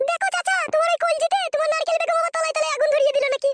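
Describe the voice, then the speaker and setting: In a squeaky, cartoonish character voice, a woman races at a very fast pace with an extremely high pitch and very wide pitch swings. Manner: sharp, scolding.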